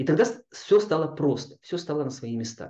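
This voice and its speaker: Calm in tone and somewhat breathy, a man talks at a moderate pace with very wide pitch swings. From Kazakhstan and Chukotka, Russian Far North. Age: 50s. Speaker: yoga teacher. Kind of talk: interview.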